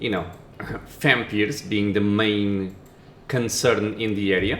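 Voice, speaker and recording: Speech in a non-native accent at a moderate pace, with music in the background. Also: man. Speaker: gaming commentator. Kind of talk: let's play commentary. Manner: casual.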